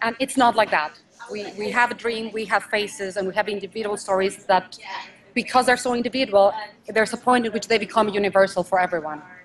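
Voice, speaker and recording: A woman's fairly high voice rushes along very fast with fairly even intonation, noticeable background noise behind it. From Mexico. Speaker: stage and film actress. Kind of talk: interview answer.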